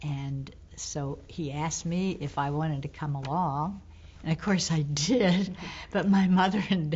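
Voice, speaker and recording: A woman with an American accent speaks at a fairly slow pace and fairly low pitch. Her voice is somewhat breathy, with ordinary pitch variation. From St. Petersburg, Florida. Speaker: retired teacher. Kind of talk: oral history interview answer.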